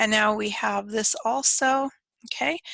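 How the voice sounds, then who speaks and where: A woman's bright, sharp voice carries vocal fry, heard dry and close with no echo. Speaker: teacher. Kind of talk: tutorial.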